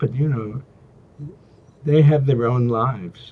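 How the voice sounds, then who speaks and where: A man speaks at medium pitch with ordinary pitch variation. His voice is somewhat breathy. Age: 80s+. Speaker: executive coach and former university president. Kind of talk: interview. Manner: halting.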